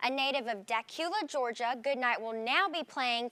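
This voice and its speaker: At a moderate pace, a woman speaks in a raised, projected voice with ordinary pitch variation. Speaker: sports news anchor. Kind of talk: sports news broadcast air check.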